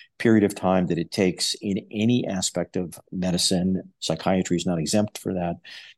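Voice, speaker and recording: A man with a plain, everyday voice and an American accent, fairly low in pitch with fairly even intonation at a moderate pace, dry and close with no echo on a very clean recording with a silent background. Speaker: psychology professor. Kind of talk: interview.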